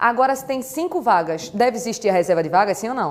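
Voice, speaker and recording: A woman with a slight Pernambuco accent sounds animated. She talks fairly quickly, and her pitch swings very widely. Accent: faint Pernambuco. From Brazil, Recife, Pernambuco. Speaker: law teacher. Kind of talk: lecture.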